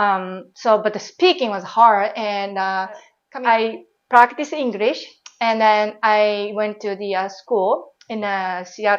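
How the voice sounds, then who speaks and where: A woman speaks at a fairly high pitch in a Japanese accent. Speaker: former airline pilot and baker. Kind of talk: interview. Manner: casual, with many fillers.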